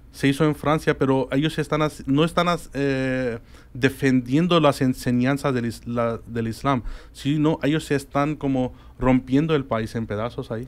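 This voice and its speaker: A man's fairly slow pace and fairly even intonation. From Spain. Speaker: guest. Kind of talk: interview on religion. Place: studio. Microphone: studio mic.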